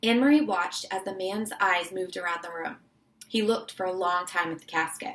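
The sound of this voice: This is an unforced reading voice. The pitch varies an ordinary amount.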